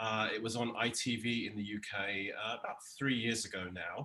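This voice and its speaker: A man speaks at medium pitch. His tone is bright and sharp. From England (London). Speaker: television showrunner. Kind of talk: casual interview.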